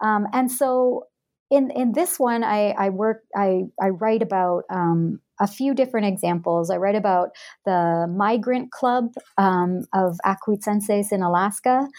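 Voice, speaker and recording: In a Canadian accent, a woman speaks at a medium pitch and a fairly slow pace, with ordinary pitch variation. Her loudness is very even, and the recording is very clean with a silent background. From Alberta, Western Canada. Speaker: anthropologist and author. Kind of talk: interview. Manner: halting, many fillers and repeats.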